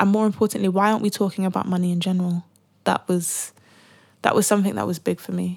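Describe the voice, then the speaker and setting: A woman talks very fast at a medium pitch, her intonation fairly even. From Britain, African family. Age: 20s. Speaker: personal finance influencer. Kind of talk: casual interview.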